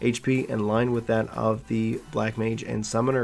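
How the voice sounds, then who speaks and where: Music in the background behind a man at a medium pitch with fairly even intonation. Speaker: gaming channel host. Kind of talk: patch notes reading.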